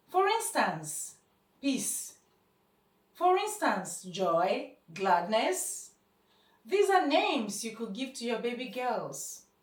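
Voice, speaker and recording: Very slowly, a woman speaks at a high pitch with very wide pitch swings. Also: long, frequent pauses. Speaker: spoken word poet and speaker. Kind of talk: short motivational talk.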